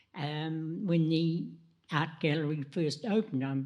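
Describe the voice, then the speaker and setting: A woman's very deep, low voice with a dark, mellow tone, in a New Zealand accent. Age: 90s. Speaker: panelist at art gallery anniversary talk. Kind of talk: panel discussion. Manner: halting.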